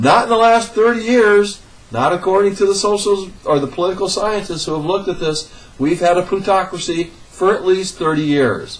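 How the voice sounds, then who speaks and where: Against noticeable background noise, a man with an American accent talks at a high pitch. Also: ordinary pitch variation, moderate pace. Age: 60s. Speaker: political commentator. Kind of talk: political rant. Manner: animated.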